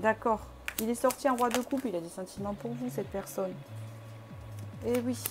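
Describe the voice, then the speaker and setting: With music in the background, a woman is talking. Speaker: tarot reader. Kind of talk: tarot reading to camera. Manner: fast; hesitant with many fillers.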